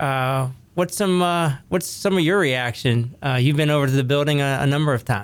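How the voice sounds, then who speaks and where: A plain, everyday voice with ordinary pitch variation at a moderate pace. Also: man. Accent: American. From US, Ohio Valley, northern West Virginia. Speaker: podcast host. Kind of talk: casual interview.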